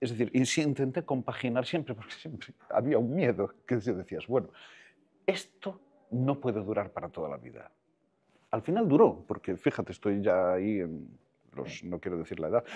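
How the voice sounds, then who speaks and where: The voice has a dark, mellow tone with vocal fry. It moves at a moderate pace with very wide pitch swings and big swings in loudness. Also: man. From Costa da Morte, Galicia; raised in A Coruña; Galicia. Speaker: film director, screenwriter and voice actor; voice actor. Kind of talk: casual interview chat. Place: home room. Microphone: lapel.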